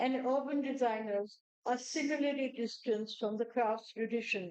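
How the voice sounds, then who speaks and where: Speaking at a moderate pace, a woman uses a high pitch, fairly even intonation and very even loudness. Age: 70s. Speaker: crafts advocate and speaker. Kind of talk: speech.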